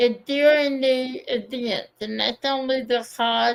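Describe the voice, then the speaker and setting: A woman's high voice in a strong Kentucky accent, very slow and fairly even in intonation, on a very clean recording with a silent background. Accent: thick Kentucky. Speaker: diamond painting YouTuber. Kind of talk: casual chat.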